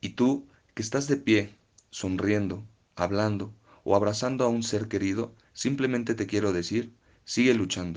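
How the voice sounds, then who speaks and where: Against a quiet background, a man with an unremarkable speaking voice talks at a fairly slow pace with fairly even intonation. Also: fairly low pitch for a man. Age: 20s. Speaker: podcast contributor. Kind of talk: personal testimony.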